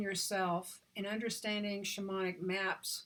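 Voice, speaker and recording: A woman's ordinary speaking voice, medium in pitch, with an American accent, fairly even intonation and a fairly slow pace. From Oklahoma, US. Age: 60s. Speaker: visionary artist and author. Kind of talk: talk on spirituality.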